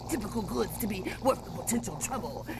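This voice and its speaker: Loud background noise runs beneath a put-on character voice. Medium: audio drama. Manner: halting, with many filler sounds.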